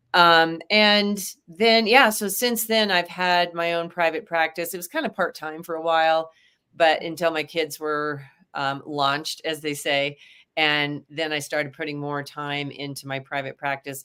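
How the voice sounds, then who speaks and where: A woman speaks at a fairly slow pace with an American accent, her fairly low voice bright and sharp, with ordinary pitch variation in a very clean recording over a silent background. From Kansas. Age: 60s. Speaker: dietitian. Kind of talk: interview. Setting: live stream. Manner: halting, many fillers.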